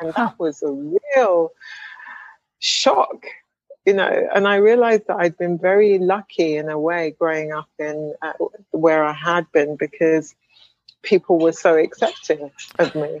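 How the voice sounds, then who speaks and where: A woman with a southern English accent talks at a fairly slow pace, with long, frequent pauses. Her pitch sits fairly low and varies in an ordinary way, and the sound is dry and close with no echo. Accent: British English (southern England). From England, Wimbledon (London). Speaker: speech language pathologist and professor. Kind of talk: interview. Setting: video call.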